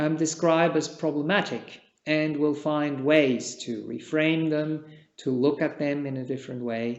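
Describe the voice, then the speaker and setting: A man with a Czech accent speaks very slowly in a fairly high pitch, his pitch varying in an ordinary way. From Switzerland. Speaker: meditation teacher, Buddhist monk. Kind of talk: dharma talk. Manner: calm, measured.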